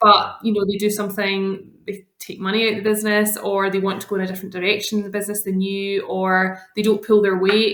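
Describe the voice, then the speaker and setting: With a Scottish accent, a woman talks at a fairly quick pace with hardly any pauses, her medium-pitched voice flat and monotone. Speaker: lawyer. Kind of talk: podcast interview. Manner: many filler ums.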